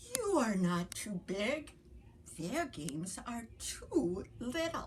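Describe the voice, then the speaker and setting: Over clear background noise, a woman uses a put-on character voice at a fairly high pitch, with very wide pitch swings and a very slow pace. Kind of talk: bedtime story. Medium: read story. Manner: slow, gentle.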